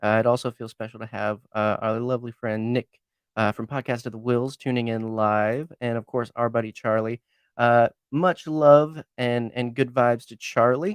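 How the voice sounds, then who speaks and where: The pace is moderate, with a quiet background. The sound is dry and close, with no echo. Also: man, medium pitch for a man. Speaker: podcast host. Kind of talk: casual chat. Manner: loud; animated.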